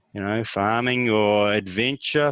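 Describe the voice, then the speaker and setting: This man speaks at a moderate pace with a New Zealand accent. His pitch is fairly low and his intonation fairly even. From rural New Zealand. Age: 60s. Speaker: farmer. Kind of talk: interview.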